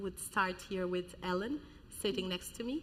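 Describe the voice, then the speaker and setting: A woman speaks at a moderate pace, her pitch varying in an ordinary way, against noticeable background noise. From Portugal. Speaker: panel moderator. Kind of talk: moderating a panel.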